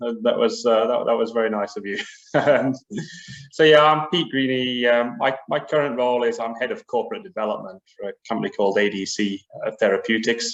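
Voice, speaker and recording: A man with a British accent speaks. His pitch is medium and his pace fairly quick. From UK. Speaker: biotech business executive. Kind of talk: panel discussion.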